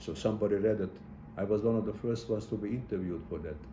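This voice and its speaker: Audible room echo carries a man's very deep, low voice. It is dark, mellow and somewhat breathy, with ordinary pitch variation. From Hungary. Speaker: Holocaust survivor. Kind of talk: testimony interview. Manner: halting, many repetitions.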